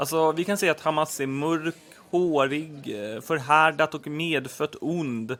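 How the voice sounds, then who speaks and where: A man speaks at a fairly slow pace. His pitch is fairly high for a man, with ordinary variation. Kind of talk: scripted two-character comedy dialogue, both voices by one person. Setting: home recording, low quality.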